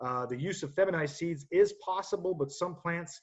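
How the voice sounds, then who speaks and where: A somewhat breathy man speaking at a fairly quick pace. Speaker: horticulture technical director. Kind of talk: webinar presentation. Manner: fast; halting, many fillers.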